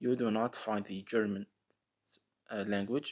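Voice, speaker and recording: A man speaks at a fairly slow pace with an Arabic accent. His pitch sits in the medium range. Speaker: tech tutorial youtuber. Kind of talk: screen-recorded app tutorial. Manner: casual with frequent fillers.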